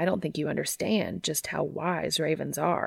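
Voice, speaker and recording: A woman puts on a character voice, very deep and low in pitch, both gravelly and raspy. She keeps a moderate pace. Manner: fairly monotone, slightly livelier than usual.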